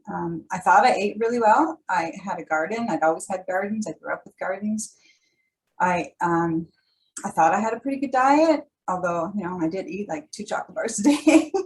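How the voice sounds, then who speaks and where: A woman with a Canadian accent speaks at a moderate pace and medium pitch, somewhat breathy. Her pitch swings very widely and her loudness shifts a lot. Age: 60s. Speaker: holistic nutrition presenter. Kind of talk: workshop presentation. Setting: video call.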